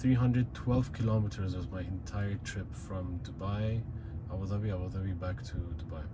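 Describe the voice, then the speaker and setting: A man talks fairly slowly, with noticeable background noise present. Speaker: car owner vlogger. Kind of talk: casual vlog chat. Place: car. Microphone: phone near.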